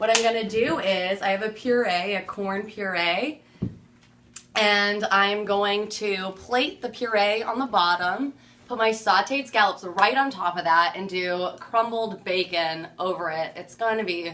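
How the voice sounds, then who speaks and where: At a fairly slow pace, a woman speaks with a bright, sharp tone. Her pitch is medium, with ordinary variation. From California. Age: 20s. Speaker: home cook. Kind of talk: cooking tutorial. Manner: upbeat, energetic.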